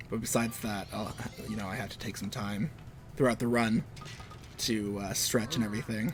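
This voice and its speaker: Music plays in the background as a man with a fairly low voice speaks at a fairly quick pace, with fairly even intonation and long, frequent pauses. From Canada. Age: 20s. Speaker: video game streamer. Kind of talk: casual live-stream commentary while gaming. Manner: casual, rambling with many fillers.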